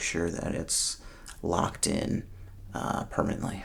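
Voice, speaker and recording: This man is soft-spoken and somewhat breathy. His tone is calm. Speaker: ASMR creator doing a roleplay. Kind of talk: ASMR roleplay as a screen technician, soft-spoken address to the viewer. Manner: soft-spoken, calm.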